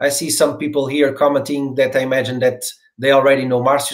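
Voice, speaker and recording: A man speaks with a Portuguese accent. His pitch is fairly high. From Portugal. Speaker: podcast host. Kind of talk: interview. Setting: video call.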